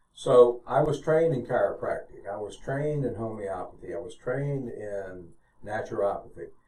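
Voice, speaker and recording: A man with an American accent speaks at a moderate pace, his loudness swinging widely. Audible room echo colors the recording. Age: 70s. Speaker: retired physician and veteran. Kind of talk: testimony.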